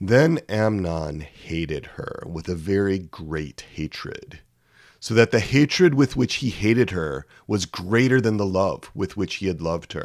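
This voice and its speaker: Speaking at a fairly slow pace, a man with a fairly low pitch has an unremarkable speaking voice and lively intonation. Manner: solemn, measured, grave.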